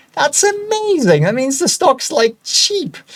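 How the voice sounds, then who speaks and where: With noticeable background noise behind him, a man talks at a moderate pace with very wide pitch swings. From Germany. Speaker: stock analysis video host. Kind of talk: casual, chatty.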